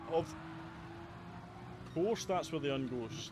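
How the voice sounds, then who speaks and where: A Scottish accent with ordinary pitch variation. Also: man. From Scotland, Motherwell near Glasgow. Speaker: video game streamer. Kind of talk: live gameplay commentary. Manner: casual, conversational.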